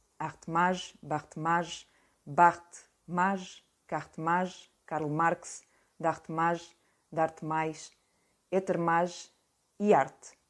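Speaking very slowly with long, frequent pauses, a woman uses a fairly low pitch and monotone, flat intonation. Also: quiet background. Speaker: audiobook reader. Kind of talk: literary audiobook reading, reading aloud a first-person novel excerpt. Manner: measured, slow, deliberate literary delivery. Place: home room. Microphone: webcam.

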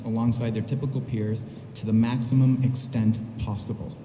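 A man talks at a moderate pace with fairly even intonation. The room echo is audible, and there is light background noise. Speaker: parent giving public comment. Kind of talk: public comment statement. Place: hall. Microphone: podium.

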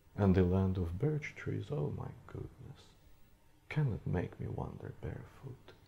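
This man speaks very slowly and somewhat breathily. His intonation is lively. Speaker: actor. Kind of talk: poetry reading. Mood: wistful, reflective. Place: studio.

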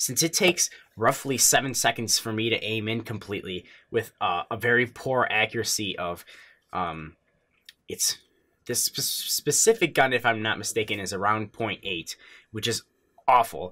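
A man at a moderate pace, with long, frequent pauses and ordinary pitch variation. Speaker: gaming tutorial creator. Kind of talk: tutorial. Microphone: headset.

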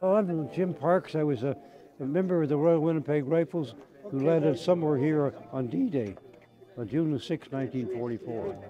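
A man keeps a moderate pace and ordinary pitch variation while noticeable background noise carries on around him. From Canada. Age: 80s+. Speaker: war veteran. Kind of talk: interview; interview answer. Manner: halting. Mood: reflective, warm. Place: open country.

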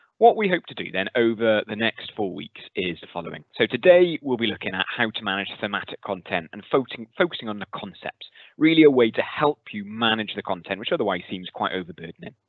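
An unremarkable speaking voice from a man, fairly low in pitch and fairly quick, with hardly any pauses, big swings in loudness, a dry sound with no echo and a quiet background. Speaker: school teacher. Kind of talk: lecture. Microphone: headset.

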